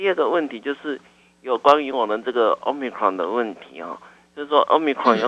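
With a normal speaking voice, a man goes at a fairly quick pace, his pitch medium and varying in an ordinary way. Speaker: caller. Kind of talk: call-in question to radio doctor. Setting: phone call. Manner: polite.

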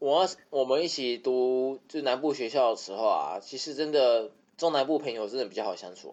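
A man with an ordinary speaking voice talks at a moderate pace and medium pitch, with ordinary pitch variation and big swings in loudness. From Taiwan, Taipei. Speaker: podcast guest. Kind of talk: casual chat.

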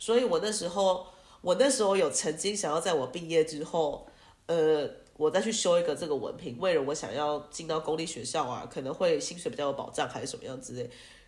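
Lively intonation marks a normal speaking voice delivered at a fairly quick pace. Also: woman, fairly low pitch for a woman. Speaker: music teacher and entrepreneur. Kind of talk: casual interview.

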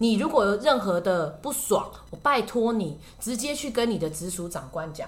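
A woman with a Taiwanese accent speaks in an animated tone, her pitch swinging very widely. Music plays in the background, and audible room echo surrounds her voice. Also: fairly high pitch for a woman, moderate pace. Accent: Taiwanese Mandarin. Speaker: podcast host and shopping channel presenter. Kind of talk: casual chat.

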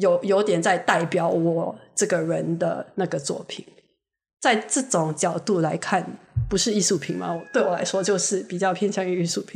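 Vocal fry and a fairly low pitch from a woman, moderate in pace, with ordinary pitch variation. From Singapore. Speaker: guest, visiting friend. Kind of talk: casual chat.

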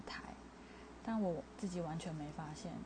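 In a room with audible echo, a woman speaks with a dark, mellow tone at medium pitch, somewhat breathy and with fairly even intonation. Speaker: podcaster. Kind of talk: casual monologue.

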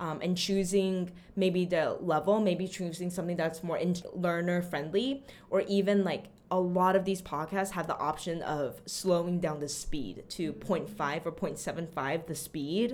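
A woman with an American accent speaks in a plain, everyday voice, fairly low in pitch, with ordinary pitch variation and a moderate pace. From Austin, Texas (after early childhood in Taiwan). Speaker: language teacher. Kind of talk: interview.

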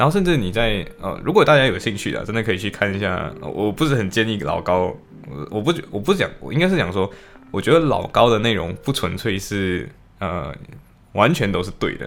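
Noticeable background noise sits behind a man with a fairly low pitch who talks at a fairly quick pace with very wide pitch swings. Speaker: law student podcaster. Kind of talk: casual solo diary podcast.

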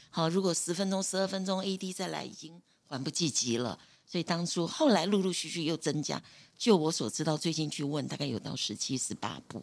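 Ordinary pitch variation marks a woman's fairly low voice as she speaks at a fairly quick pace. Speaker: retired nursing supervisor. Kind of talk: interview.

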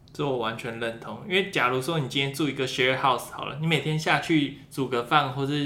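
Through noticeable background noise and audible room echo, a man speaks at a fairly high pitch with ordinary pitch variation. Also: fairly quick pace, hardly any pauses. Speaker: international student, podcaster. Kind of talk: casual chat.

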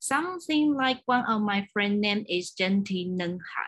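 A woman speaks with a Chinese accent at a fairly slow pace. Her pitch varies in an ordinary way. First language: Mandarin Chinese. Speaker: podcast host. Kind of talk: interview. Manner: halting.

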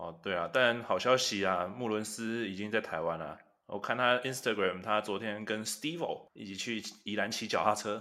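Fairly low male pitch, moderate speed, ordinary variation in pitch, and a plain, everyday voice. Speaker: podcast co-host. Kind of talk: casual chat.

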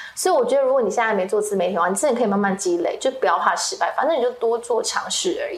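A woman with a high pitch and very wide pitch swings, talking at a very fast pace with hardly any pauses over noticeable background noise. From Taiwan, Kaohsiung. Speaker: social media creator and entrepreneur. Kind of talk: interview.

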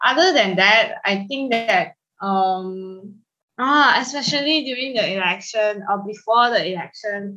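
At a very slow pace, a woman talks in a bright, sharp tone with ordinary pitch variation. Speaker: podcast co-host. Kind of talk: casual chat.

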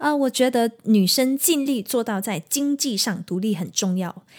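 Over a very clean recording with a silent background, a woman with an ordinary speaking voice talks at a moderate pace using lively intonation. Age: 30s. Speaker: singer and podcast host. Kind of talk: solo podcast monologue. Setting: at home.

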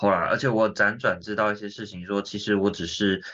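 Fast and bright, a man talks in a sharp tone.

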